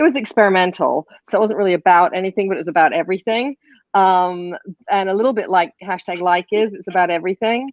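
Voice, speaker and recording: A woman at a very fast pace and medium pitch, with ordinary pitch variation and a dry, close sound with no echo. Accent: English. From England. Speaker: filmmaker. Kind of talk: panel discussion.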